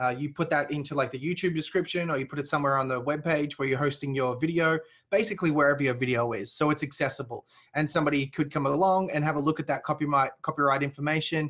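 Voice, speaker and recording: Talking at a very fast pace, a man uses a fairly high pitch. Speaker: software webinar host. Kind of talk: webinar Q&A and demo. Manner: energetic.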